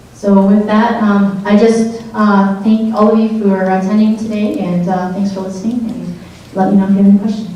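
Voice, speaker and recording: Amid noticeable background noise and audible room echo, a woman with an American accent speaks at a fairly quick pace in a medium pitch and a monotone, flat delivery. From Wisconsin, Driftless Area. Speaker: fish biologist presenting at a conference. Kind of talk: conference presentation and Q&A. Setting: conference room with audience. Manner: hesitant, many fillers.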